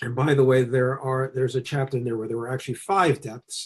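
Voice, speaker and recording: At a fairly quick pace, a man talks in a medium pitch with fairly even intonation and a somewhat breathy voice. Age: 60s. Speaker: Chinese medicine teacher and author. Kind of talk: interview. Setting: video webcast.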